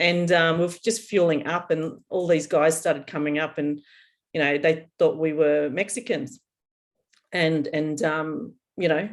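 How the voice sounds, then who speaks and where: A woman with an Australian accent and fairly low pitch talks at a fairly slow pace with long, frequent pauses. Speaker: podcast co-host, psychic reader. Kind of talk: casual chat.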